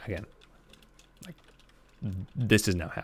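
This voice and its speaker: A soft-spoken man with a fairly low voice and lively intonation. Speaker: game streamer. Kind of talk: live gameplay stream commentary. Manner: quiet, soft-spoken; calm, not loud.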